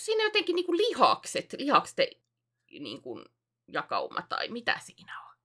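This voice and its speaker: A woman with an extremely high pitch speaks at a moderate pace, with long, frequent pauses, very wide pitch swings and big swings in loudness. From South Ostrobothnia, Finland (Alajärvi area). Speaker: podcast co-host and video streamer. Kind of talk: casual chat. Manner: frequent hesitations and filler sounds.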